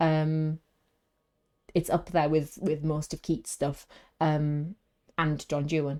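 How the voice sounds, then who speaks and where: A speaker with a Welsh accent and a dark, mellow tone, captured in a very clean recording with a silent background. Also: woman. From Wales. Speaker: video game streamer. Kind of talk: casual gaming stream chat. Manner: animated; halting, many fillers.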